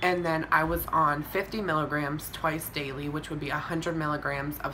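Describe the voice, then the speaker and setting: Against noticeable background noise and audible room echo, a woman with a very deep, low pitch talks at a moderate pace in monotone, flat intonation. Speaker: vlogger. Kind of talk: video diary update. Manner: casual, with fillers.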